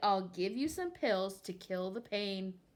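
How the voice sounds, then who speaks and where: A woman's put-on character voice at a medium pitch, fairly slow, with ordinary pitch variation. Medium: read story. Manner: curt, self-satisfied.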